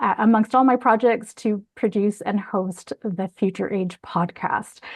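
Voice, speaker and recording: Recorded dry and close with no echo, an ordinary speaking voice moves at a fairly slow pace. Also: woman, medium pitch for a woman, ordinary pitch variation. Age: 50s. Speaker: charity executive. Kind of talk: panel discussion.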